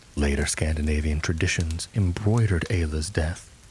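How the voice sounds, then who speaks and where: The man talks at a moderate speed while noticeable noise sits in the background. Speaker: voice actor. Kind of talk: sleep story.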